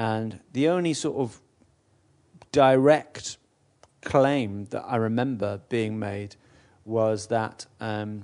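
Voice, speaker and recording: The speaker is a man with a medium pitch. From Newcastle, northeast England. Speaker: podcast host. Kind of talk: casual banter about football.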